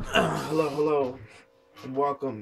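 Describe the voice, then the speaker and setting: Noticeable noise sits in the background. The talking keeps a moderate speed. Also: man. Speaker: anime reviewer. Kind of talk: casual video review. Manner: many filler words, hesitant.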